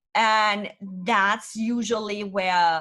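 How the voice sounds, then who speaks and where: Fairly high pitch from a woman with a German accent, bright and sharp in tone. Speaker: business consultant. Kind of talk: interview. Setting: podcast. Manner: blunt.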